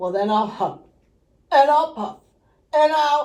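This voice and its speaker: A put-on character voice growls at a high pitch. The pace is fairly slow. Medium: read story. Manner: growling.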